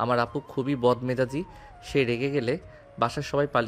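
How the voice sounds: The voice is a natural reading voice with fairly even intonation.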